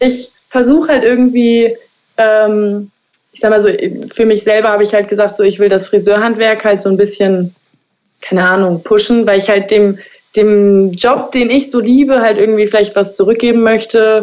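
A woman talks in a plain, everyday voice. Her pitch is fairly high and her intonation fairly even. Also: moderate pace. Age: 20s. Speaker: hairdresser. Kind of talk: interview.

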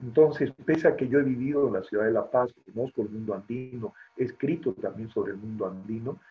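This man, with an unremarkable speaking voice, moves at a fairly quick pace in a medium pitch and ordinary pitch variation. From Bolivia, Beni and La Paz. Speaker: poet and writer. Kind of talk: interview.

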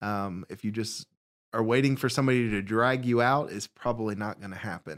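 In a Southern US accent, a man speaks with ordinary pitch variation in a dry, close sound with no echo, on a very clean recording with a silent background. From Alabama. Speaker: youth pastor. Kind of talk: casual interview.

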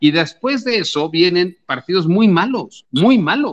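This man has an ordinary speaking voice with lively intonation. He speaks at a fairly slow pace. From Mexico City. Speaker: sports journalist. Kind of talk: casual chat.

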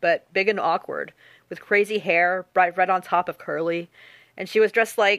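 The speaker is reading aloud in a natural voice with fairly even intonation.

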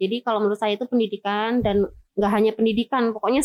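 Her fairly high-pitched voice sounds dry and close with no echo as a woman speaks. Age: 30s. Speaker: prison education staff. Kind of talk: interview. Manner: hesitant with fillers.

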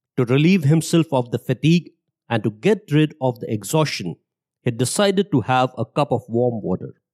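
A man with an ordinary speaking voice talks at a moderate pace and medium pitch. His intonation is lively, and the sound is dry and close with no echo. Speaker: podcast host and narrator. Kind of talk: storytelling narration, scripted and read aloud. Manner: formal; steady, measured storytelling pace.

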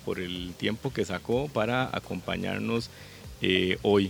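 A man speaks at a very slow pace. His intonation is lively. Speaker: podcast host and football fan. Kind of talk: scripted intro then interview; interview. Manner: halting, many fillers.

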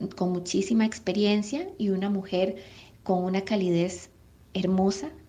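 A woman talks fairly slowly. Her pitch sits in the medium range. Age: 30s. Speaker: mother. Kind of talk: testimony.

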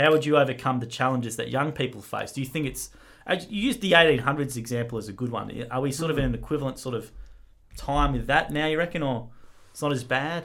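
A man's fairly high, bright and sharp voice with an Australian accent, a very fast pace and lively intonation. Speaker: podcast co-host. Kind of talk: casual chat.

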